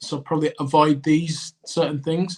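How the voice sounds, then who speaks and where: This man has an English accent and a fairly high pitch. He speaks at a fairly slow pace. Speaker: podcast co-host, cricketer. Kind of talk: casual chat.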